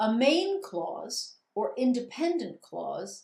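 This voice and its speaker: A woman talks with lively intonation. Her voice sits high. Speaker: grammar teacher. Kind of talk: recorded lecture. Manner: slow.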